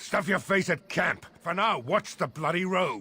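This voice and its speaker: A man puts on a growling character voice. It sits high in pitch and moves at a moderate pace. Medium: video game. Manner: curt, commanding.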